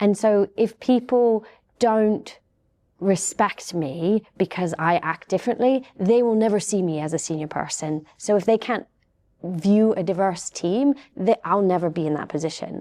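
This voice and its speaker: In a very clean recording with a silent background, a woman with a British accent speaks at a medium pitch in a dark, mellow tone. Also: ordinary pitch variation, fairly slow pace. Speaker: cybersecurity panelist. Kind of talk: panel discussion. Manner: soft-spoken.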